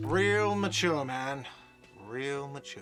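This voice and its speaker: A man's whiny, shouted put-on character voice at a medium pitch, with clear music in the background. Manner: whiny, shouting.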